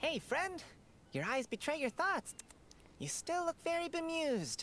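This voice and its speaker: A high-pitched put-on character voice over clear background noise. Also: moderate pace. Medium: video game. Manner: chatty, friendly.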